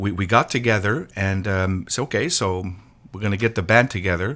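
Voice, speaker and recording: The speaker has a Quebec accent. The recording is very clean, with a silent background. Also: man. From Quebec (Montreal). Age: 60s. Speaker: drummer and drum teacher. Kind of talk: interview. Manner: halting, many repetitions.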